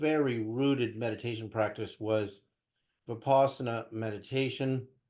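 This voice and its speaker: A man speaks at a medium pitch in an unremarkable speaking voice, his intonation fairly even. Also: moderate pace. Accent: American. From US West Coast (Berkeley, California). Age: 60s. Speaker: spiritual teacher and researcher. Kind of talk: interview.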